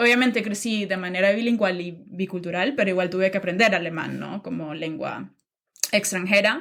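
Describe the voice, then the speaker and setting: A woman's medium-pitched voice moves at a moderate tempo, its pitch varying in an ordinary way. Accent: Nicaraguan. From Nicaragua. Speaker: podcast guest. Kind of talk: interview conversation. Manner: hesitant, many fillers.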